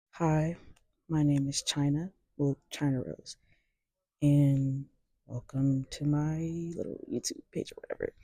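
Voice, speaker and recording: A soft-spoken woman talks at a fairly slow pace with long, frequent pauses. The sound is dry and close with no echo. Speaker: music commentator. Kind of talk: casual vlog. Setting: library. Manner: halting.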